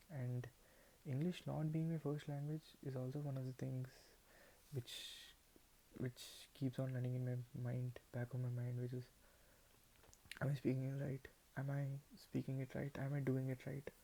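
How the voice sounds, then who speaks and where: A man with a Telugu accent speaks at a moderate pace in a somewhat breathy, dark, mellow voice of medium pitch, monotone and flat, with long, frequent pauses. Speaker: vlogger. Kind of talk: casual monologue to camera. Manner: halting, many repetitions.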